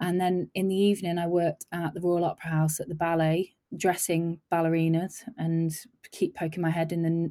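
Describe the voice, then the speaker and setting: Flat, monotone delivery from a woman with an English Midlands accent at a fairly quick pace, in a very clean, dry, close recording with a silent background and no echo. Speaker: film makeup and hair designer. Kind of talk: casual interview chat.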